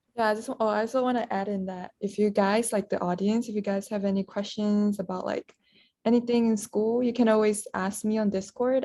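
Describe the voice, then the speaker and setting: A woman speaks at medium pitch in a Malaysian accent, her tone dark and mellow. Her intonation is monotone and flat, and her pace is fairly quick. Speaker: podcast co-host, university student. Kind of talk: casual chat.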